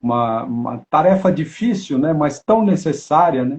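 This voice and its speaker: The voice is somewhat breathy, with lively intonation. Its pace is fairly slow. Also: man. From São Paulo, Brazil. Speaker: family constellation facilitator and live-stream host. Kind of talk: live-stream interview.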